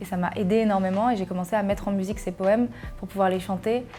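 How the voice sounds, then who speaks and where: Her speech moves at a fairly quick pace, and this woman keeps a medium pitch and fairly even intonation. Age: 20s. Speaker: journalist, content creator and singer. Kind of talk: personal testimony interview. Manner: hesitant, many fillers.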